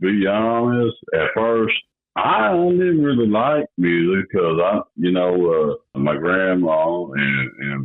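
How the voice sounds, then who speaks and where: A man speaks very slowly in an American accent. His intonation is lively. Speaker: singer and entertainer. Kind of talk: interview. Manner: halting, many fillers.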